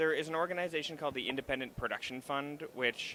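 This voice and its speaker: With a slight Canadian accent, the speaker talks at a fairly quick pace in a bright, sharp tone. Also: man. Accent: Canadian, slight (slips on 'about'). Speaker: actor and web series creator. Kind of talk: interview at a live event. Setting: stage at a trade show, live stream.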